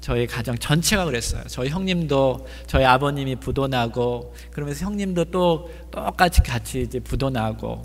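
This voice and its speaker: The speech comes at a moderate pace, with audible room echo. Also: man. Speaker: pastor. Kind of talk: sermon.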